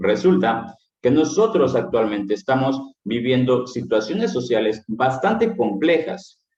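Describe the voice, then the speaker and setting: Speaking at a very slow pace, a man moves through very wide pitch swings. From Mexico, Veracruz (Misantla). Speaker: philosophy teacher. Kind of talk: lecture. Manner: animated.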